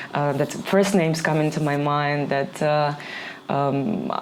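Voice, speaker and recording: With a Ukrainian accent, a woman speaks at a fairly slow pace. Audible room echo and noticeable background noise fill the recording. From Ukraine. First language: Ukrainian or Russian. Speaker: DJ and label owner. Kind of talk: podcast interview. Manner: halting, searching for words.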